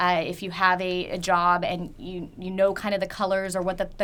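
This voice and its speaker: The voice belongs to a woman and sits at a medium pitch. The tone comes across bright and sharp. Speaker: photographer. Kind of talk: webinar tutorial. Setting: online webinar. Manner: fast.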